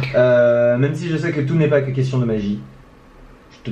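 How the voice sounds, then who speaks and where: Audible room echo hangs around this voice. A man delivers his words at a fairly quick pace. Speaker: musician and songwriter. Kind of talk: casual chat.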